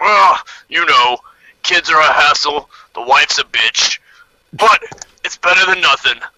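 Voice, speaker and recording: Using a gruff, put-on character voice, a man speaks at a high pitch with long, frequent pauses. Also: moderate pace. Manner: grunting, gruff.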